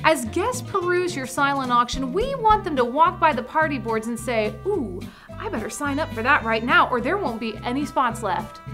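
An upbeat, enthusiastic woman at a moderate pace, hardly pausing, with clear music in the background. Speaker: auctioneer and auction consultant host. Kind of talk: instructional presentation to camera. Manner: upbeat, friendly, enthusiastic. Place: studio. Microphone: lapel.

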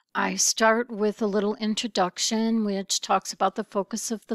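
A woman speaks with monotone, flat intonation. The recording is very clean, with a silent background. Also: dry, close sound with no echo. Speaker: college instructor. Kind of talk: tutorial. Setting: garage at night. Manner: hesitant with filler words.

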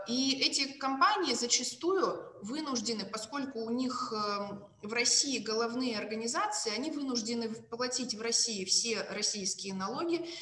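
Lively intonation from a woman, with audible room echo and light background noise. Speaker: law scholar. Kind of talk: academic presentation. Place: home room. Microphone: video call.

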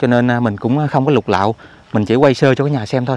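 Speaking at a fairly quick pace with ordinary pitch variation, a man is captured in a dry sound with no echo. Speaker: channel owner and vlogger reporting from crime scene. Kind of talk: on-location vlog narration. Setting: outdoors at a fire scene. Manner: casual, conversational. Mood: somber, hushed. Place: open country. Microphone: phone near.

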